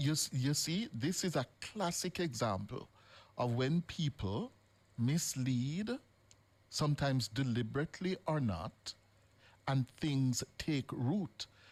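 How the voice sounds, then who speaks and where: A man with a fairly high pitch speaks very slowly, somewhat breathy, with lively intonation and long, frequent pauses. His loudness stays very even, and the sound is dry and close with no echo. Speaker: radio talk show host. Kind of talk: live radio talk show confrontation with a caller. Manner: firm, interrupting, then measured and serious.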